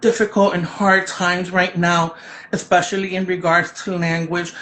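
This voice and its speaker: Noticeable background noise accompanies a woman speaking at a moderate pace with a Spanish accent. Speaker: children's book author. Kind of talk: interview. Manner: loud; animated.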